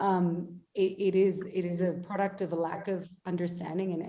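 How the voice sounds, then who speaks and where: A woman speaks at a moderate pace with an Australian accent. Her pitch is medium. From Australia, Melbourne. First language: Bengali. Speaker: actor. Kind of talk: panel discussion.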